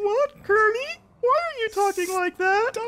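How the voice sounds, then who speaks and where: Someone uses a put-on character voice at an extremely high pitch and a fairly slow pace. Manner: puppet-like.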